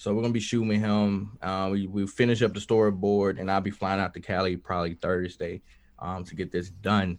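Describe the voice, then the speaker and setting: A man speaks at a fairly quick pace with a Southern US accent, his pitch fairly low. His intonation is monotone and flat, and the background is quiet. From US South, Mississippi. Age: 20s. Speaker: musician and Air Force veteran. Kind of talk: casual chat.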